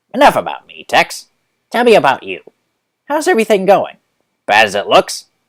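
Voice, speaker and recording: A man's put-on character voice, fairly quick yet with long, frequent pauses, big swings in loudness, dry and close with no echo. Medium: read story. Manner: smug, condescending.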